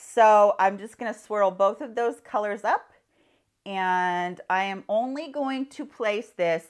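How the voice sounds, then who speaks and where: This woman has a medium-pitched voice with ordinary pitch variation and a fairly slow pace. The recording is very clean, with a silent background. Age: 50s. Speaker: beauty vlogger. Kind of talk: tutorial. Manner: casual.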